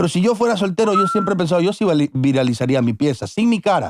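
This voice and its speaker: A man talks at a very fast pace in a high pitch with very wide pitch swings. The sound is dry with no echo, though background noise is noticeable. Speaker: podcast host. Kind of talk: casual chat. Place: studio. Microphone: studio mic.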